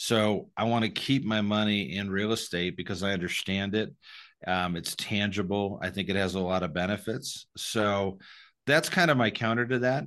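Over a quiet background, a man with a normal speaking voice talks at a moderate pace, his fairly low pitch showing ordinary pitch variation. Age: 50s. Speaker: tax-deferred exchange specialist. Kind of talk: interview.

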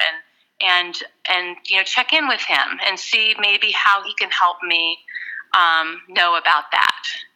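At a fairly slow pace, a woman with an ordinary speaking voice talks at a medium pitch with ordinary pitch variation. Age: 40s. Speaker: life coach. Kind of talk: casual interview.

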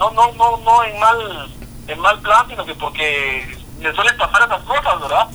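Lively intonation marks this man's high, raised and projected voice. He speaks at a fairly slow pace over noticeable background noise. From Guatemala. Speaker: voice actor and social media personality. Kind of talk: casual interview.

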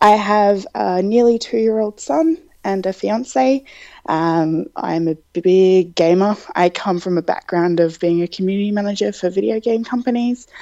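A woman's dark, mellow voice at a medium pitch, with an Australian accent, in a dry, close sound with no echo. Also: ordinary pitch variation, moderate pace. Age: 20s. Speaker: podcast guest, marketing manager. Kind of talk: interview. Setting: outdoors in backyard, remote call.

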